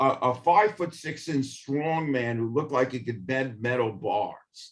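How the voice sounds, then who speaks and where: In a New York accent, a man speaks at a moderate pace. His pitch is fairly high, with ordinary pitch variation. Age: 70s. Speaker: history professor. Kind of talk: interview. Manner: halting.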